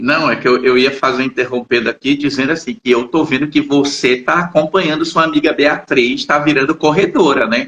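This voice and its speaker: A man with an ordinary speaking voice talks at a fairly high pitch and a moderate pace, with ordinary pitch variation, very even loudness and hardly any pauses. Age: 60s. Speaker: psychologist and channel host. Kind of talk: casual chat. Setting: live stream.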